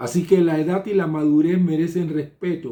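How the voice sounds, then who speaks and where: The voice belongs to a man. His tone is dark and mellow. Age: 60s. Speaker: pastor. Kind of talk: sermon. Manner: halting.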